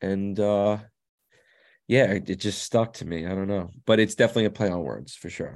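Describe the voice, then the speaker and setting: Against a quiet background, a man with a New York accent and a fairly low pitch talks at a fairly quick pace with ordinary pitch variation. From New York (Staten Island), later New Jersey. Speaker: DJ and producer. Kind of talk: casual interview. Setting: recorded remotely, in the Netherlands.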